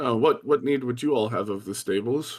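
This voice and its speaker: A man's put-on character voice at medium pitch and a moderate pace. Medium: actual play. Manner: haughty, condescending.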